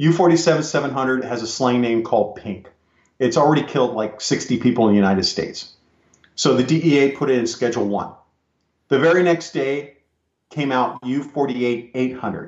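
A plain, everyday voice from a man, medium in pitch, with ordinary pitch variation and a fairly slow pace. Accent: American. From California. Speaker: retired police officer and drug recognition trainer. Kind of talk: interview.

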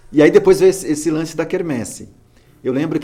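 A man is speaking. Music plays in the background. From interior of Alagoas, Brazil, moved to São Paulo at age 8. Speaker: podcast co-host, kung fu practitioner. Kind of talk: casual chat.

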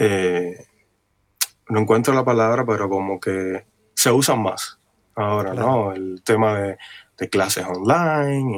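At a fairly slow pace, a man of medium pitch talks with ordinary pitch variation. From Cuba (Havana). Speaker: guitarist. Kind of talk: interview.

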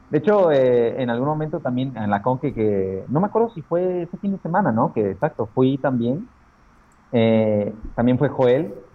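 A man speaks at a moderate pace in a medium pitch, with an unremarkable speaking voice. His intonation is lively. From Mexico, Aguascalientes. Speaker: comic illustrator. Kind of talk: casual interview chat.

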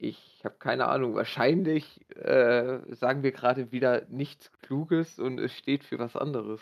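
This man's pitch sits in the medium range, and his intonation stays fairly even. He talks at a fairly slow pace with hardly any pauses. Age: 20s. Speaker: podcast guest. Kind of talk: casual chat. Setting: online voice call.

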